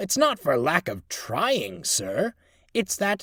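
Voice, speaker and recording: Using a put-on character voice, a man speaks with a high pitch at a very slow pace. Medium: read story. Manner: grumbling, reluctant.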